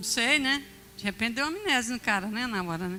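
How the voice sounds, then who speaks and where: A woman speaks in an animated, bright, sharp tone with a fairly high pitch and lively intonation. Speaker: bishop preaching. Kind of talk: sermon. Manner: animated storytelling.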